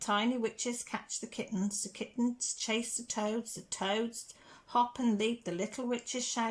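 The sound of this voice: This is an unforced reading voice. It is heard reading aloud.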